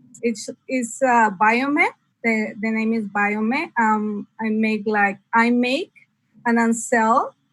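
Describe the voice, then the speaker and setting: A woman with a Spanish accent speaks at a very slow pace. Her pitch is fairly high and her intonation fairly even. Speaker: nonprofit founder and small business owner. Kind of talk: interview. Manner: halting.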